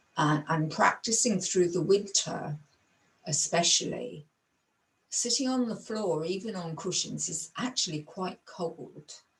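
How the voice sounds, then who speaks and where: Fairly slowly and at a fairly low pitch, a woman speaks in a normal speaking voice with ordinary pitch variation. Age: 60s. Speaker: Buddhist meditation teacher. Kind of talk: teaching talk. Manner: calm, measured.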